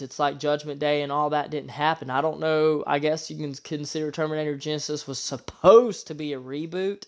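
An unremarkable speaking voice from a man, fairly high in pitch and fairly quick, over a quiet background. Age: 30s. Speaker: podcast host, movie reviewer. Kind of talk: solo movie review monologue.

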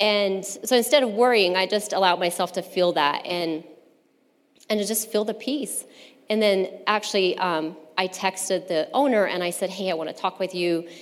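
Medium pitch, a normal speaking voice, ordinary pitch variation and a moderate pace from a woman. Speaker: churchgoer giving testimony. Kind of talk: testimony.

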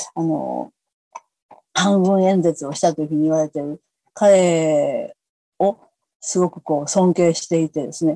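With a dark, mellow tone, a woman speaks at a fairly slow pace and ordinary pitch variation, in a dry, close sound with no echo. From Kobe, Japan (Kansai). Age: 70s. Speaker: peace activist, former schoolteacher. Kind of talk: interview conversation.

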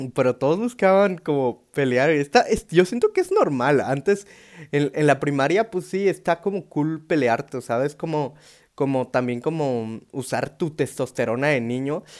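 A man speaks at a fairly slow pace with a fairly high pitch. His intonation is lively. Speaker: stand-up comedian. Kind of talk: stand-up comedy with dark humor. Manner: animated, slangy, irreverent with swearing and sound effects; rambling, self-interrupting, laughing at own jokes.

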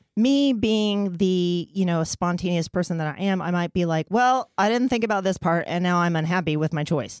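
With a plain, everyday voice, a woman speaks at fairly low pitch and a moderate pace, with very even loudness and hardly any pauses, in a dry, close sound with no echo on a very clean recording with a silent background. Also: ordinary pitch variation. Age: 40s. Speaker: sex therapist. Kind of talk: casual chat.

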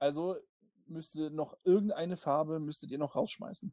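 The sound is dry and close with no echo as a man speaks in a fairly high pitch with a dark, mellow tone. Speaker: podcast co-host. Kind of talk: casual chat.

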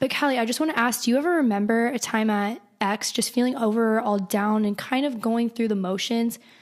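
Normal pitch movement against noticeable noise in the background. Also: woman, fairly high pitch for a woman. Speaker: podcast host. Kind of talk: casual chat. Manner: animated.

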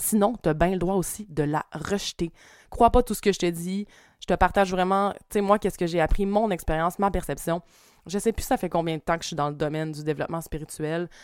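In a Quebec accent, a woman speaks at a fairly low pitch with ordinary pitch variation. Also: fairly quick pace, dry, close sound with no echo, very clean recording, silent background. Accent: Québécois French. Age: 30s. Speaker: spiritual coach and energy healer. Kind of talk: casual monologue.

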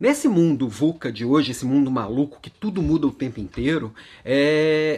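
Here a man with a plain, everyday voice talks at a moderate pace, his pitch fairly high and his intonation lively. The recording is very clean, with a silent background. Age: 40s. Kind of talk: daily motivational monologue.

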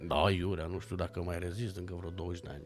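Somewhat breathy and very deep in pitch, a man talks at a fairly quick pace. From Romania, Bucharest. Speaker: actor and stuntman. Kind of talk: casual chat.

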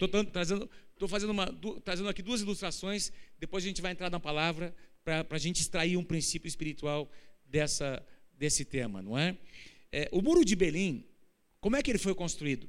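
Talking at a fairly quick pace yet with long, frequent pauses, a man with a high pitch is heard amid audible room echo. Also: ordinary pitch variation. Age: 50s. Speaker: pastor. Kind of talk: sermon. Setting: church.

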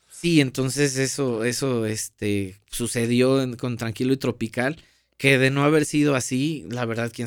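A man's normal speaking voice at medium pitch, with ordinary pitch variation, a fairly slow pace, and a very clean recording over a silent background. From Mexico, Veracruz (Paso de Ovejas). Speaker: guitarist and music video director. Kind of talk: podcast interview. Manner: casual, slangy.

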